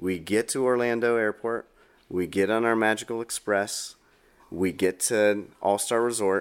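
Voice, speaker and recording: A man speaks with a fairly low voice. The recording is very clean, with a silent background. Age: 30s. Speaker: podcast co-host, parent. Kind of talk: casual chat.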